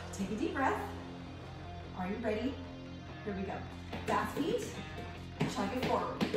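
Over clear music in the background and audible room echo, a woman speaks at a moderate pace. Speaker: fitness instructor. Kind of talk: workout instruction. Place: gym.

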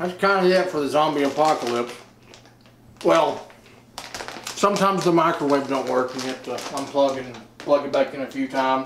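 There is audible room echo and light background noise. A man speaks at a fairly quick pace. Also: ordinary pitch variation. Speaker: comic mockumentary character. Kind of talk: mock interview confession. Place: home room.

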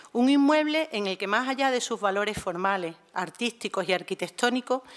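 Against a quiet background, a woman speaks at a fairly high pitch with lively intonation and a fairly quick pace. She has an unremarkable speaking voice. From Málaga, Andalusia; Andalusia. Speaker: museum director; panelist introducing a lecture. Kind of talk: prepared formal speech. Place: hall. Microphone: podium.

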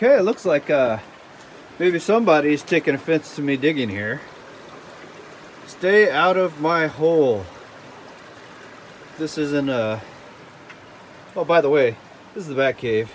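A man with lively intonation and long, frequent pauses over light background noise. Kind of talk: casual vlog chat. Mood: cheerful, mildly annoyed at graffiti. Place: waterside. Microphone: phone near.

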